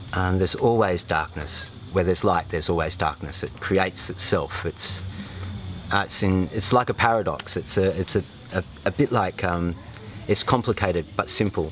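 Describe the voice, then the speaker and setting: A man's very deep, low voice with an Australian accent and fairly even intonation, at a moderate pace over faint music in the background. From Australia, northern New South Wales. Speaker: retreat participant, former fitter machinist. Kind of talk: testimonial interview. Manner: halting, with many fillers. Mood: reflective, calm. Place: open country.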